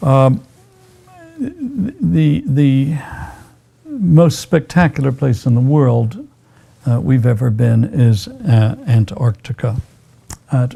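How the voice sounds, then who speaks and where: Speaking at a very slow pace, a man has a somewhat breathy, dark, mellow tone at a medium pitch. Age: 70s. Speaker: physician. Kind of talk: interview. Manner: hesitant, many fillers.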